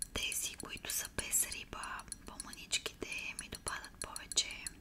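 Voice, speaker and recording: A woman whispers at a fairly slow pace. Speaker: ASMR creator. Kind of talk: ASMR eating video. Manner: whispered. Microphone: phone near.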